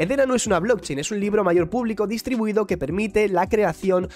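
With faint music behind him, a man talks using ordinary pitch variation. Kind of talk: commentary. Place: home room. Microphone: studio mic.

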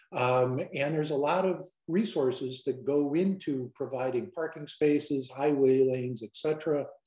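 Against a quiet background with audible room echo, a man with a fairly high voice talks at a fairly slow pace with ordinary pitch variation and hardly any pauses. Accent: American. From Illinois. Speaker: advocacy group director. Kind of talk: webinar presentation. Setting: video call. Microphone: webcam.

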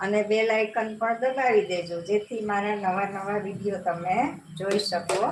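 Fairly even intonation from a woman, with noticeable background noise. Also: medium pitch for a woman. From Gujarat, Jamnagar (Saurashtra). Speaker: cooking channel host. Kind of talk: live cooking tutorial. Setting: home kitchen, live stream.

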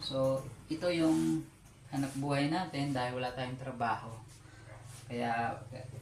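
Audible room echo surrounds speech at a fairly slow pace broken by long, frequent pauses. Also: man, medium pitch for a man, ordinary pitch variation. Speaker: small food business owner and vlogger. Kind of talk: casual vlog. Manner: halting, with many fillers.

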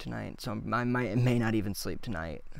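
The man's voice is dry with no echo as he speaks at a moderate pace. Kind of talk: casual vlog chat. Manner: slow, flat, sleep-deprived speech. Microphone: studio mic.

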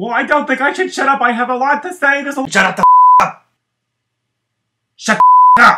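In a cartoonish character voice with an extremely high pitch, a man talks at a fairly quick pace with long, frequent pauses while sound effects play in the background. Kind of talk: comic sock puppet sketch.

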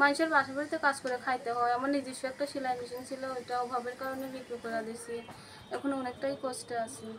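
A woman's high, monotone voice with flat intonation over noticeable background noise. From Bangladesh, Chuadanga-Meherpur area; Bangladesh. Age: young. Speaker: domestic worker seeking marriage; interviewee. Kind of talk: interview. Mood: sad, tells of hardship. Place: home room. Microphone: phone near.

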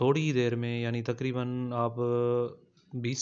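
A man speaks at a fairly slow pace. His intonation stays monotone and flat. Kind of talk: cooking tutorial narration. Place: kitchen. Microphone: phone near.

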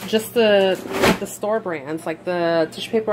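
This is a normal speaking voice at a moderate pace with ordinary pitch variation. Light background noise can be heard. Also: woman. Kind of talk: casual vlog chat. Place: kitchen. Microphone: phone near.

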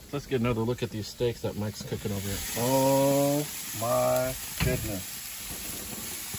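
The sound is dry with no echo, though noticeable background noise comes through. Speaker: vlogger filming a friend. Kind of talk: casual vlog chat. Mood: playful, joking. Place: garden. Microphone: phone near.

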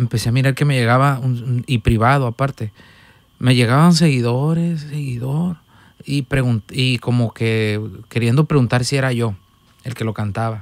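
A man with an ordinary speaking voice talks at a moderate pace, his medium pitch showing ordinary variation. The sound is dry with no echo. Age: 20s. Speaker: musician, accordionist; podcast guest. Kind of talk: casual chat. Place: studio. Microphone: studio mic.

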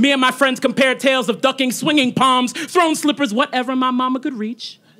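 Over music in the background, a man with an extremely high pitch speaks in a raised, projected voice at a fairly quick pace with fairly even intonation. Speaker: slam poet. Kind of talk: spoken word poetry performance. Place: stage. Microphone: handheld.

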